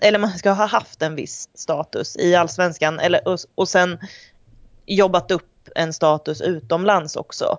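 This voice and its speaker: This woman's voice sits fairly low in pitch and shows ordinary variation. She talks at a fairly slow pace. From Sweden, Degerfors (Värmland). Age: 30s. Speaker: sports reporter. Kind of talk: casual interview. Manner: halting.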